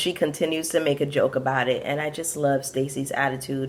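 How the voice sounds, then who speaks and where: A woman with an American accent speaks in a very deep, low pitch at a fairly quick pace. Her tone is animated, and there is noticeable background noise. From Brooklyn, New York, Caribbean family. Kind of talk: casual review vlog.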